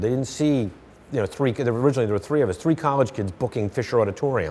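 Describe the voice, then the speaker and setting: A man talks with lively intonation in a Philadelphia accent. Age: 50s. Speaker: playwright. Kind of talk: interview.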